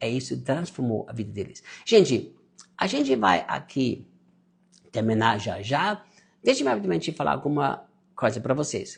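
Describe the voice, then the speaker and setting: The man's voice is somewhat breathy. He talks at a moderate pace, his pitch swinging very widely. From Austria. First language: German (speaking Portuguese). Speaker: pastor and online mentor. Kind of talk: live stream sermon with sales pitch. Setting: live stream.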